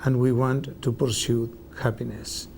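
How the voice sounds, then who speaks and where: This man speaks with a Spanish accent. His tone is dark and mellow, and somewhat breathy. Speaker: professor. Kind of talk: interview.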